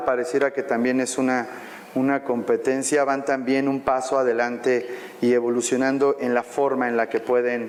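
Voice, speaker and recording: Against noticeable background noise, a man talks at a moderate pace. His pitch is medium and his intonation fairly even. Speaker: banking compliance expert, panelist. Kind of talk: panel discussion. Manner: halting, many fillers.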